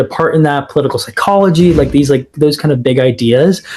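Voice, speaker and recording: Speaking with an American accent, a man of fairly high pitch sounds somewhat breathy and uses ordinary pitch variation. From Phoenix, Arizona, USA. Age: 20s. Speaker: startup founder. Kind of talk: podcast interview answer. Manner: casual, filler-heavy.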